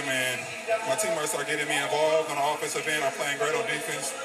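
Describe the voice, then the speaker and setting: Very fast speech from a man over loud background noise. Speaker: professional basketball player. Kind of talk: interview answer. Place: stadium. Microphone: handheld.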